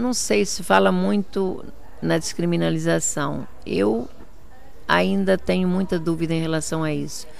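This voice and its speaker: At a fairly slow pace, a woman talks in a very deep, low pitch with very wide pitch swings, and room echo can be heard. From Portugal, Viseu district, emigrated to Brazil at 10. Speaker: politician. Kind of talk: interview.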